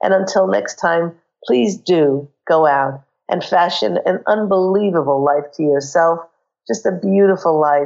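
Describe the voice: A woman with a fairly low pitch, a croaky voice with vocal fry and a slightly mellow tone speaks at a fairly slow pace, with ordinary pitch variation.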